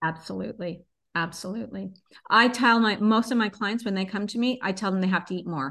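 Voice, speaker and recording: In an unremarkable speaking voice, a woman talks at a fairly quick pace with medium pitch and ordinary pitch variation. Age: 50s. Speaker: wellness coach. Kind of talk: interview conversation.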